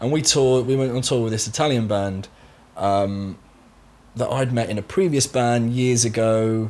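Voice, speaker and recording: Here a man talks with a Somerset accent. His pace is moderate. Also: medium pitch for a man, ordinary pitch variation. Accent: Somerset West Country. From Somerset, England. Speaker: session drummer. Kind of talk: casual interview chat.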